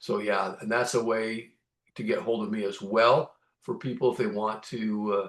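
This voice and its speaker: A plain, everyday voice speaks at a moderate pace with fairly even intonation against a quiet background. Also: man. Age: 60s. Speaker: conservation advocate, nonprofit board member. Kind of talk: interview.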